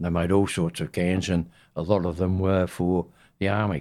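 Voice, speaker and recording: With an Australian accent, a man speaks at a fairly slow pace. His very deep, low voice stays monotone and flat. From Western Australia. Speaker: navy veteran. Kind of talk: oral history interview.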